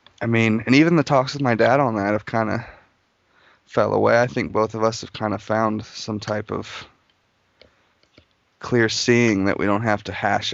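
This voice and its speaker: A man with an American accent speaks at medium pitch and a moderate pace, his intonation fairly even and broken by long, frequent pauses. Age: 20s. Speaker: interview guest. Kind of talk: casual interview conversation.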